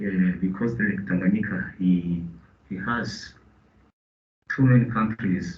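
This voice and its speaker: A man speaks with a Burundian accent at a fairly slow pace. Audible room echo surrounds his voice. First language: Kirundi. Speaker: business representative. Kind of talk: meeting contribution. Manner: halting.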